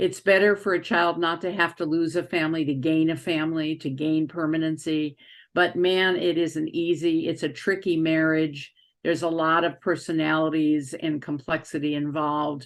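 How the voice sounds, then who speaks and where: In a very clean recording with a silent background, a woman with a very deep, low pitch speaks at a moderate pace in a monotone, flat manner. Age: 80s+. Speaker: adoption social worker, interviewer. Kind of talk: interview.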